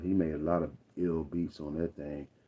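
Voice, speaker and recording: Monotone and flat, a man with a very deep, low pitch talks with a Southern US accent. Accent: Southern drawl. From Arkansas, US South. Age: 50s. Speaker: rapper. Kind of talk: casual livestream monologue. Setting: livestream. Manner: halting, many fillers.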